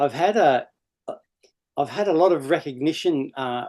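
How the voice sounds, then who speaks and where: With an Australian accent, a man speaks in a fairly high pitch, ordinary pitch variation and a dark, mellow tone. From Australia, Sydney (Bondi). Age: 60s. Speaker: former pro surfer. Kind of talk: casual interview chat.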